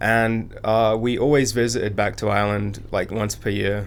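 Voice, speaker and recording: The speaker has an American accent. Room echo is audible in the recording. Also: man. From England, Birmingham. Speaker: entrepreneur. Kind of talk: interview conversation.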